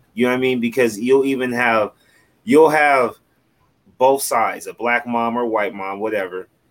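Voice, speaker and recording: A man's plain, everyday voice at medium pitch and a moderate pace. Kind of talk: casual chat. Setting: video call.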